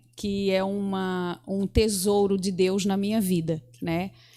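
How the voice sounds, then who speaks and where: A woman with a medium pitch talks very slowly. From southern Brazil, Santa Catarina coast. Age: 30s. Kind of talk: interview at religious seminar.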